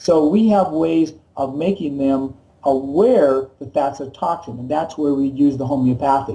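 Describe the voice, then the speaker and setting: This man's voice has a fairly high pitch, a dark, mellow tone, a somewhat breathy quality and ordinary pitch variation. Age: 60s. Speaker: chiropractor. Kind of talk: interview.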